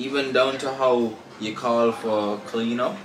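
A man's voice is heard with noticeable background noise. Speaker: travel vlogger. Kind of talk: casual vlog chat. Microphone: camera far.

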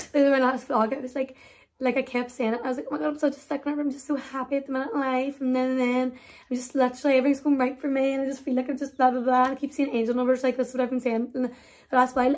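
A woman rattles off her words at a very fast pace, her high voice held in a monotone, flat intonation. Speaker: vlogger. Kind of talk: casual vlog chat. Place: home room. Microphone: phone near.

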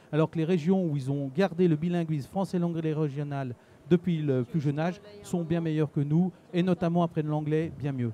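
Recorded dry with no echo and light background noise, a man talks at a fairly quick pace in a fairly high pitch with fairly even intonation. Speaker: regional language teachers' association president. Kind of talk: interview answer. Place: hall. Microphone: handheld.

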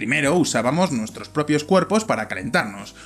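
A man speaks with very wide pitch swings. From Spain, Valladolid; Spain. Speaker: video presenter; presenter. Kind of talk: scripted narration. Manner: animated. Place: studio. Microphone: studio mic.

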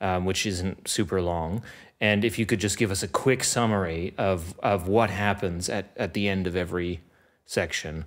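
A man with an ordinary speaking voice, fairly low in pitch, with ordinary pitch variation at a moderate pace against a quiet background. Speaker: podcast host. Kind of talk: podcast conversation. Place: studio. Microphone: studio mic.

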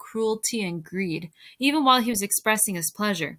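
Someone reads the text aloud in a natural voice.

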